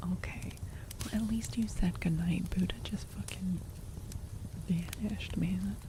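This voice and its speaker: Against noticeable background noise, a woman speaks fairly slowly, leaving long, frequent pauses. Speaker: ASMR streamer. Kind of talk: casual live-stream chat with viewers. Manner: casual, expressive, candid.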